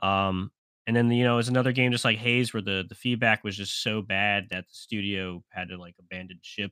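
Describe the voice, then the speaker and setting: A man speaks fairly quickly at a fairly low pitch, his tone bright and sharp and his intonation fairly even, with big swings in loudness. The recording is very clean, with a silent background and a dry, close sound with no echo. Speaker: podcast co-host. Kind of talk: casual banter, comedic chat. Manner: joking, crude humor.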